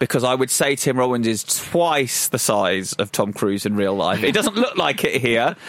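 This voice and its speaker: Over noticeable background noise, the speech runs at a moderate pace with hardly any pauses, very even loudness and lively intonation. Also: man, medium pitch for a man. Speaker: film podcast co-host. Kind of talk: casual film discussion.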